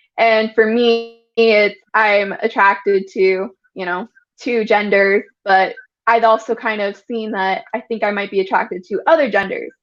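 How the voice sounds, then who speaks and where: Over a quiet background, a woman speaks fairly slowly in a fairly high pitch with ordinary pitch variation, in a normal speaking voice. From Utah. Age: 20s. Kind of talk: interview testimony.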